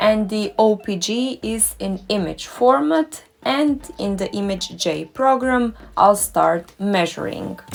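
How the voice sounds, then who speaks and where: Over noticeable background noise, the speech goes at a very slow pace with lively intonation. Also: woman, medium pitch for a woman. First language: German or Croatian. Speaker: dentist and doctoral researcher. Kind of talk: tutorial.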